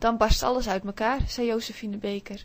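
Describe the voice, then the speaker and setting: The speaker keeps a moderate pace and a gentle tone. Intonation stays fairly even. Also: woman. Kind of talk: audiobook reading aloud of a children's story, told in first person by a child narrator. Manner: gentle, dreamy, storytelling pace with small voices for the imaginary friend.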